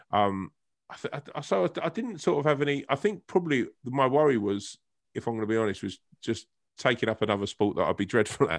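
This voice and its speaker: A man with a medium pitch and a southern English accent, lively intonation, a fairly quick pace and a dry, close sound with no echo. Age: 40s. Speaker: actor and comedian. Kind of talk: casual interview chat.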